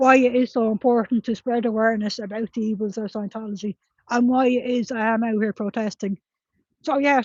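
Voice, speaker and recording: A woman with a rural Irish accent speaks at a fairly high pitch with fairly even intonation. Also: fairly quick pace. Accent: broad rural Irish. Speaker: streamer and street protester reading viewer comments. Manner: fast talker, urgent.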